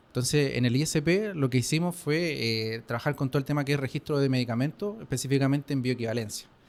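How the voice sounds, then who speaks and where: This man's voice sits fairly high. His words come out at a very fast pace. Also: ordinary pitch variation, hardly any pauses, very even loudness. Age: 20s. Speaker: pharmaceutical chemist. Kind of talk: interview.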